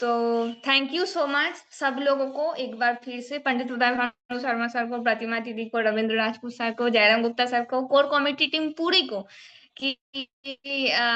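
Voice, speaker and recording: Speaking with a Bengali accent, a woman has a high pitch and a bright, sharp tone. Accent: Bengali-accented Hindi. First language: Bengali (speaking Hindi). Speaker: community group member giving testimony. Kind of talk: personal testimony speech. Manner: hesitant, with fillers.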